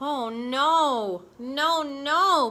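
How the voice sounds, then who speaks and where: A female-sounding voice performs a put-on character. Its pitch sits high for a woman. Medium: read story. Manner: grumbling.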